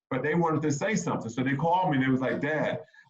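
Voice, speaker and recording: A man speaks in an animated tone at a fairly high pitch. His voice is somewhat breathy, with ordinary pitch variation. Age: 50s. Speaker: former college basketball player and sports dad. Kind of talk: casual chat. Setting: video call.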